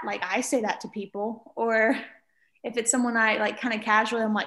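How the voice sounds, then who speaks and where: A woman talks with a Mississippi accent. Her pace is moderate. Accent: Southern US (Mississippi). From US South, rural Mississippi. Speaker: piano teacher. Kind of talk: casual chat.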